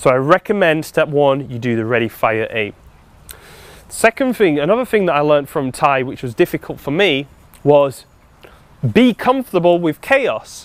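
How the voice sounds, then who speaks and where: A man with a British accent, fairly high-pitched, his pitch swinging very widely at a moderate pace, with long, frequent pauses and a dry, close sound with no echo. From UK. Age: 40s. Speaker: life coach. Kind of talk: seminar talk.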